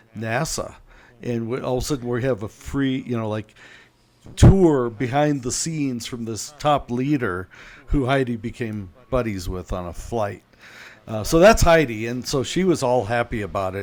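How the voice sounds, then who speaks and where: A man's medium-pitched voice with a northern US accent, moderate pace and ordinary pitch variation. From US Midwest, Chicago. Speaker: author and evangelism teacher. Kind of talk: interview conversation. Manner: animated storytelling.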